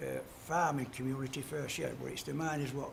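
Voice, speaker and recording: A man with a South Yorkshire accent talks at a fairly quick pace, with audible room echo and noticeable background noise. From Yorkshire, Doncaster area. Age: 70s. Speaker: retired coal miner. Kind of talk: casual interview. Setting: portrait sculpting session.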